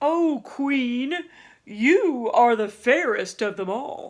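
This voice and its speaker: A woman uses a put-on character voice at a high pitch. She talks at a very slow pace over a quiet background. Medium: read story.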